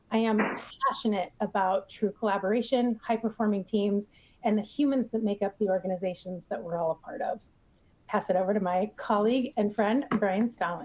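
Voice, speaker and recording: A woman speaks in a Minnesotan accent at a medium pitch. Her pace is fairly quick, with ordinary pitch variation. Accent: Minnesota. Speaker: agile coach and software evangelist. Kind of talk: webinar presentation. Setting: online webinar.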